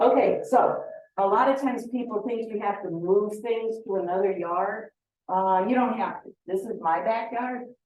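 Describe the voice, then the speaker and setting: A woman speaks with a fairly high pitch and ordinary pitch variation at a moderate pace. An audible room echo surrounds her voice. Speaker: beekeeping association president and speaker. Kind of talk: presentation to a club meeting.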